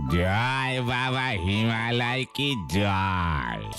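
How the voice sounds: A man's cartoonish character voice at medium pitch over loud music in the background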